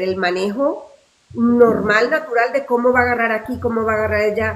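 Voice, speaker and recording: Her voice is an ordinary speaking voice, fairly high for a woman and kept at a moderate pace. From Venezuela. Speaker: actress. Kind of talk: interview answer.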